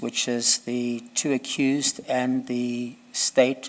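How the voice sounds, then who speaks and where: A man is speaking. His pace is very slow. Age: 70s. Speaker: judge candidate. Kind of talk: job interview.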